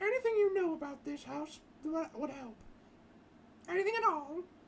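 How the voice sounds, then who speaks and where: In a high-pitched, put-on character voice, the speaker goes at a moderate pace over clear background noise. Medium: game stream. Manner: firm, practical.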